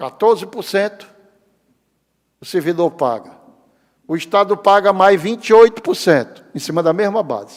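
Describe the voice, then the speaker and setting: A high-pitched man in an animated tone, at a moderate pace with ordinary pitch variation and long, frequent pauses. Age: 60s. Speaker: public pension agency head. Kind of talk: lecture.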